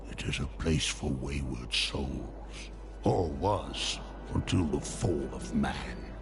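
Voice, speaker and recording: A man does a put-on character voice at a very slow pace. Loud background noise runs underneath. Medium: game stream. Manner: dark, knowing.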